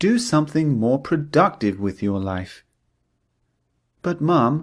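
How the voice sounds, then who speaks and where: On a very clean recording with a silent background, a man with a British accent talks at a very slow pace, his fairly high voice making very wide pitch swings. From United Kingdom. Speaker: English teacher. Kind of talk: language lesson drill sentences. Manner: slow, clear.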